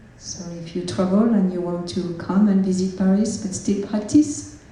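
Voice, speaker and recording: Speaking at a fairly slow pace with ordinary pitch variation, a woman is heard over noticeable background noise and audible room echo. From France. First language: French. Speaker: Buddhist nun. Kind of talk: self-introduction at a public talk. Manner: halting, many fillers.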